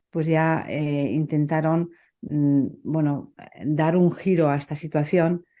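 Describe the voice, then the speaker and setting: Against a quiet background, a dark, mellow tone carries a Basque accent in a monotone, flat delivery. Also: woman. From Basque Country, Spain. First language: Basque (speaking Spanish). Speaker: poet. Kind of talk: interview conversation. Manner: hesitant, many fillers.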